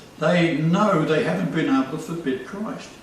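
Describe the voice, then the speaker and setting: With noticeable background noise and audible room echo, a man speaks at a fairly slow pace in a fairly high pitch with lively intonation. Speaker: religious video host. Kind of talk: casual chat.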